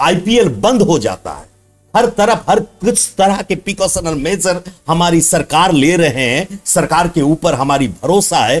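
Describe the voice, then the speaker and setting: A high-pitched man with an Odia accent and lively intonation. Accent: Odia-accented Hindi. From Odisha, India (Baripada area). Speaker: social commentator vlogger. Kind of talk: social commentary monologue.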